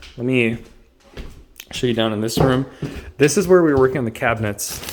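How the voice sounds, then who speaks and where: Fairly quick, medium-pitched speech from a man, with normal pitch variation, amid noticeable noise in the background. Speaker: home renovator. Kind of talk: casual talk to camera.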